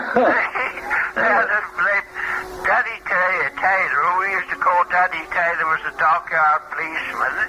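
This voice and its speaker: A man's high voice with ordinary pitch variation at a moderate pace, noticeable background noise behind it. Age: 80s+. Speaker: retired postmaster and shopkeeper. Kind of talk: casual chat. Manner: halting.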